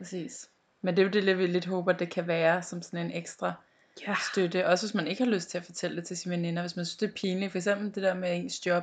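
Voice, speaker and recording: Speaking at a very fast pace, a woman keeps a fairly low pitch and a monotone, flat intonation. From Denmark, North Zealand. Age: 20s. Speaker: podcast co-host. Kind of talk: casual chat.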